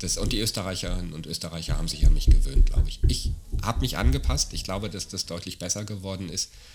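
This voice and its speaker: A man's very deep, low voice with vocal fry, very fast, with ordinary pitch variation and big swings in loudness. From Germany. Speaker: podcast host. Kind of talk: casual chat.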